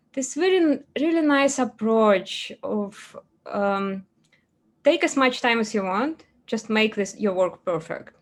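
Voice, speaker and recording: With a non-native accent, the speaker moves at a very slow pace using lively intonation. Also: woman, fairly high pitch for a woman. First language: not English. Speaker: 3D character artist. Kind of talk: interview. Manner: halting.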